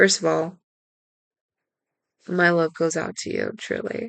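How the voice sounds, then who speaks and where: The pace is fairly slow. A woman is talking with an American accent. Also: quiet background. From Texas. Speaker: podcast host, tarot reader. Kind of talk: spiritual podcast talk.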